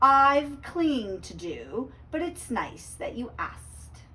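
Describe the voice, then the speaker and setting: A woman's high put-on character voice at a fairly slow pace. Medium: read story. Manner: hesitant, polite.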